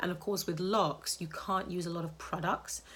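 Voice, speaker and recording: Somewhat breathy, a woman with a British accent talks at a moderate pace and a fairly low pitch. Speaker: healthy hair advocate and author. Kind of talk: live social media Q&A talk. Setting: live Instagram stream.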